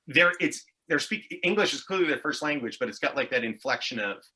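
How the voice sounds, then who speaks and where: Speaking with a Montreal accent at a moderate pace, a man with a high pitch and bright, sharp tone makes very wide pitch swings. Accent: anglophone Montreal English. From Montreal, Quebec (Anglophone, Town of Mount Royal). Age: 40s. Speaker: actor and comedian. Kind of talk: casual chat. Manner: animated, tangential storytelling.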